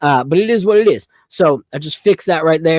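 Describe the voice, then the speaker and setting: The sound is dry and close with no echo as a man talks in an American accent. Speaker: sports podcast host. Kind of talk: casual live podcast chat. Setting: home studio livestream. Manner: loud; animated.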